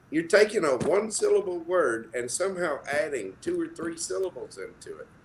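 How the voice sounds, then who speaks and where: Speaking fairly slowly, a man talks with an American accent. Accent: slight Southern accent, mostly suppressed. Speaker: former radio broadcaster. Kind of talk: casual chat. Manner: animated.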